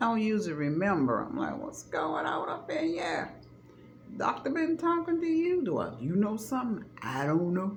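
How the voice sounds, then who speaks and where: Amid audible room echo and noticeable background noise, a woman at medium pitch talks at a moderate pace with very wide pitch swings and big swings in loudness. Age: 60s. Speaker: vlogger. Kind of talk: casual chat. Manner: animated.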